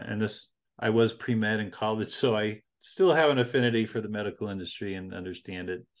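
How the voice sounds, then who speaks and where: A plain, everyday voice from a man, fairly low in pitch, at a fairly quick pace against a quiet background. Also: ordinary pitch variation. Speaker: interviewer host. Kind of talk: interview conversation.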